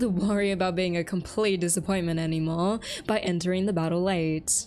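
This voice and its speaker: A woman talks at a fairly quick pace with a medium pitch. Music plays in the background. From Australia. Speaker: gaming YouTuber. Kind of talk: scripted narration.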